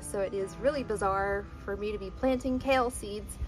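A woman talks at a moderate rate as clear background music plays. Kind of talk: casual tutorial vlog. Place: garden. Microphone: phone near.

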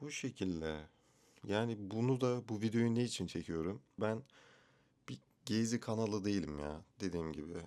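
The intonation is lively. A man speaks with a dark, mellow tone. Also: fairly low pitch for a man, moderate pace. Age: 20s. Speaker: vlogger. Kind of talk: casual vlog monologue. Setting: bedroom at home, self-recorded video.

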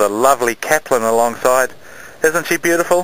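Dry with no echo, a man talks at a fairly quick pace with ordinary pitch variation. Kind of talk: casual vlog chat. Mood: cheerful, jokey. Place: boat. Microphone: phone near.

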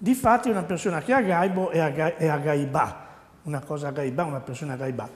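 The pace is very fast. Intonation stays lively throughout. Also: man, fairly high pitch for a man. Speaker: dialect teacher. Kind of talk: TV dialect lesson. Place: studio. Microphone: lapel.

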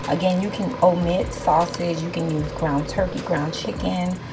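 Music plays behind the speaker, a woman. Her pitch varies in an ordinary way. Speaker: home cook vlogger. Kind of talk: cooking tutorial chat. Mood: excited, enthusiastic. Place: kitchen. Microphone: phone near.

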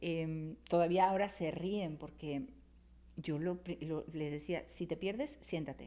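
A woman speaks at a very slow pace in a fairly low register, with vocal fry. Her tone is dark and mellow, and her pitch varies in an ordinary way. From Spain. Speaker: writer and cultural manager; podcast guest. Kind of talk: casual chat. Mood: lively, humorous storytelling. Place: studio. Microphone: studio mic.

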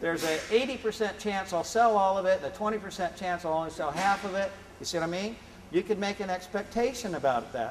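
A man's high-pitched voice at a moderate pace over light background noise. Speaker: presenter. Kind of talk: lecture. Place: classroom. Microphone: camera far.

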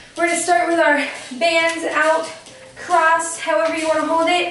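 There is light background noise and audible room echo as a woman speaks. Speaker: fitness instructor. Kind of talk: workout instruction. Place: home room.

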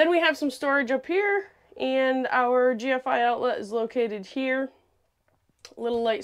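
Her voice high in pitch, a woman speaks with lively intonation. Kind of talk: product walkthrough tour. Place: bathroom. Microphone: lapel.

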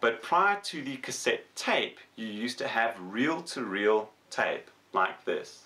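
The voice moves through very wide pitch swings. It goes at a very slow pace. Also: man. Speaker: electronics YouTuber and tutor. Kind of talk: tutorial. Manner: casual, conversational with fillers. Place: workshop.

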